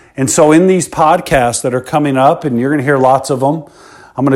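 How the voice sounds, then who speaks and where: Here a man speaks with an American accent and a plain, everyday voice. His pitch is fairly high and his intonation fairly even. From Chicago South Suburbs, US. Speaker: entrepreneur and podcast host. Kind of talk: podcast monologue.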